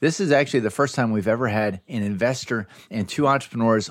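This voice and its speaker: This man talks fairly quickly at a medium pitch, with ordinary pitch variation and a plain, everyday voice. The recording is very clean, with a silent background. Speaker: podcast host. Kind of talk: interview conversation.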